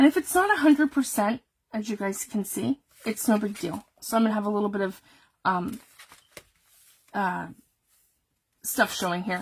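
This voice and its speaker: Somewhat breathy woman at a fairly high pitch, moderate pace, with long, frequent pauses. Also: lively intonation. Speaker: papercraft youtuber. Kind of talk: live craft tutorial. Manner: casual, chatty.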